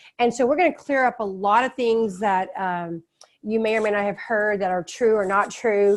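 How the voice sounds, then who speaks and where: A woman with a Texan accent speaks in a fairly high pitch. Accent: Texan American English. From Texas. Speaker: author and test prep educator. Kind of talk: webinar presentation. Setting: online webinar. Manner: fast.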